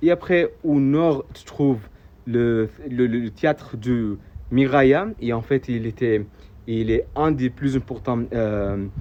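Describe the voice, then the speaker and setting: With an Arabic accent, a man talks at a very slow pace. His pitch sits at a medium level and varies an ordinary amount. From Saudi Arabia (AlUla). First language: Arabic (speaking French). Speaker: local tour guide vlogger. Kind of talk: travel video explanation. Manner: halting, many hesitations and repeated words.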